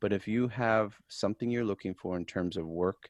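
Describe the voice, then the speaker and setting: Set against a quiet background, a man with a fairly low pitch uses a plain, everyday voice at a moderate pace, in a dry, close sound with no echo. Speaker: podcast host. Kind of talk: podcast interview host.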